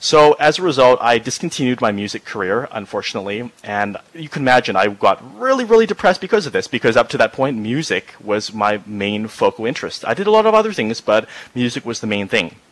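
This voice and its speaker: At a very fast pace with hardly any pauses, a man's medium-pitched voice moves through very wide pitch swings over noticeable background noise. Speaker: speaker with Asperger syndrome giving a talk. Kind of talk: presentation to a virtual-world audience. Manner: animated.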